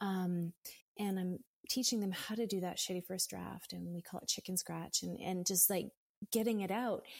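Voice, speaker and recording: There is a somewhat breathy quality to this woman's voice. She keeps to a moderate pace. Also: medium pitch for a woman, fairly even intonation. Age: 50s. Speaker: yoga and meditation teacher. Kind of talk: casual chat.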